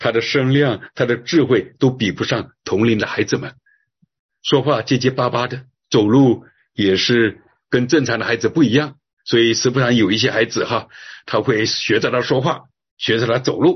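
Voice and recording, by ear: A man's voice has a slightly husky edge and ordinary pitch variation. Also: medium pitch for a man, moderate pace.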